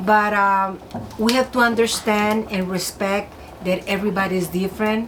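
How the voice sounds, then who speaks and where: Noticeable background noise runs behind a woman. She speaks at a moderate pace in a flat monotone. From Mexico, Ciudad Juárez. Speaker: host's mother. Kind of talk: casual chat. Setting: cabin by fireplace. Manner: halting.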